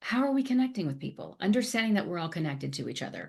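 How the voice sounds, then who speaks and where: Against a quiet background, a woman speaks in an animated, somewhat breathy voice with very wide pitch swings. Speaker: speaker and author of a compassion framework. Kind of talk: podcast interview.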